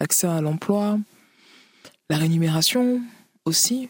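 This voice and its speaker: A woman with a fairly low pitch and ordinary pitch variation speaks at a very slow pace, the sound dry and close with no echo. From Cameroon, then Paris region (93). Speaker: author, rapper and DJ. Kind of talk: interview. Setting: remote duplex link. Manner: halting, frequent repetitions.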